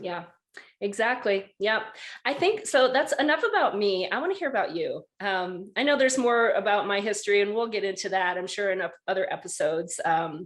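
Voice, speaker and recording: Talking at a fairly quick pace, a woman with an American accent has a plain, everyday voice and lively intonation. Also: medium pitch for a woman. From rural Wisconsin. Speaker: podcast host. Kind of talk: casual chat.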